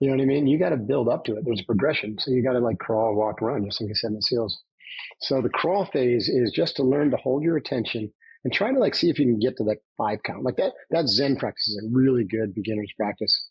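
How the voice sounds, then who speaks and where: A man's somewhat breathy voice, medium in pitch, at a very fast pace with ordinary pitch variation. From upstate New York. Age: 60s. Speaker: former navy commando and trainer. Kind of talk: podcast interview.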